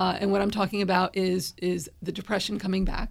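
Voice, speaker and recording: A somewhat breathy woman at medium pitch and moderate pace. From northern New Jersey. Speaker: yoga therapist. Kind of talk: interview.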